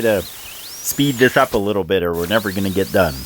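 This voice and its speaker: With noticeable background noise behind him, a man speaks at a moderate pace in a fairly low pitch with ordinary pitch variation. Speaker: stone fabricator and lapidary hobbyist. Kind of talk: tutorial. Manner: loud.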